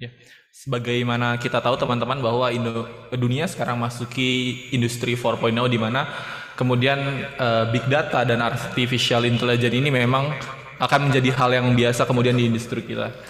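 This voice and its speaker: A man talks at a fairly quick pace with a medium pitch and monotone, flat intonation. Audible room echo surrounds the voice. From Indonesia. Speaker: pharmacy student moderator. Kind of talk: formal event hosting. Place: studio.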